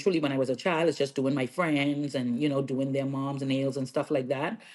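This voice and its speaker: With a strong Bahamian accent, a woman speaks in a very deep, low pitch over a quiet background. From Bahamas, Freeport, Grand Bahama. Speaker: nail artist and educator. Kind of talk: podcast interview.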